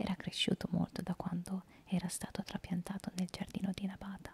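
A woman speaks at a moderate pace in a dark, mellow, somewhat breathy tone. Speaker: storyteller. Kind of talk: storytelling narration. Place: home room. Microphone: handheld.

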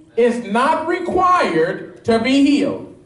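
An animated man speaks with very wide pitch swings. Audible room echo surrounds his voice. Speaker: pastor. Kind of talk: sermon. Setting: church with live congregation, also streamed on Periscope. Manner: animated, call-and-response, pressing the congregation for amens; fervent, urgent preaching. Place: church.

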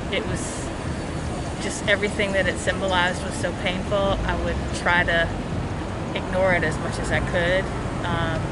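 Over loud background noise, a woman speaks at a moderate pace with long, frequent pauses in a dry sound with no echo. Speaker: interviewee. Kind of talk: interview answer. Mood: reflective, emotional. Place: street. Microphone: phone near.

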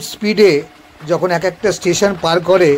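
A man's voice with fairly even intonation and light background noise. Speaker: train travel vlogger. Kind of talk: live travel commentary. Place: train. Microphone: phone near.

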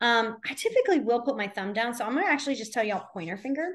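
A woman speaks with a high pitch over a quiet background. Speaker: sign language teacher. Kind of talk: lecture. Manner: casual, filler-heavy. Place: home room. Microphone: video call.

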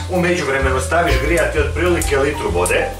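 A man at a very fast pace with clear music in the background. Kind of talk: tutorial. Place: kitchen. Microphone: camera far.

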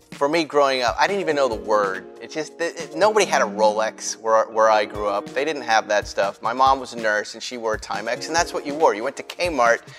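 A man at a fairly quick pace with hardly any pauses, clear music in the background. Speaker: TV host. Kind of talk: interview answer. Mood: amused, storytelling. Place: garage. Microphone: lapel.

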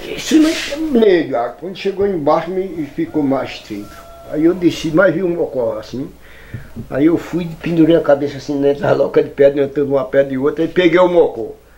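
In a rural northeastern Brazilian accent, a man with a fairly high pitch and ordinary pitch variation talks at a moderate pace. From Northeast Brazil. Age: 80s+. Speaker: farmer and former hunter; former hunter storyteller. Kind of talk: storytelling. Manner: halting. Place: kitchen.

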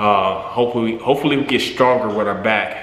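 Fairly even intonation marks this man's speech, and noticeable background noise is present. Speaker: gym-goer vlogger. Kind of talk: casual vlog chat. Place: gym. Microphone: phone near.

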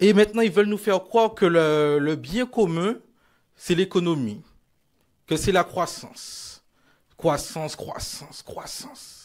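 The voice moves through an ordinary range of pitch at a very slow pace. Long pauses come often, over a quiet background. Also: man, high pitch for a man. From Martinique (Basse-Pointe); Martinique. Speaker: politician. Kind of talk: political rally speech. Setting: stage with audience. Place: hall. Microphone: lapel.

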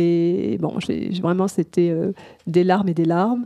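A woman's dark, mellow voice at a moderate pace. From France, Algerian family. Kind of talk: testimony. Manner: halting, many repetitions and hesitations.

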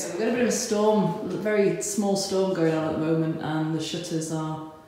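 With audible room echo, a woman speaks at a moderate pace in a low-pitched voice with a dark, mellow tone and fairly even intonation.

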